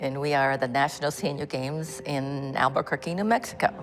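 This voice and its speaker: Over music in the background, a woman speaks at a very deep, low pitch with fairly even intonation. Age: 80s. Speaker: senior track and field athlete. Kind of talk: documentary interview.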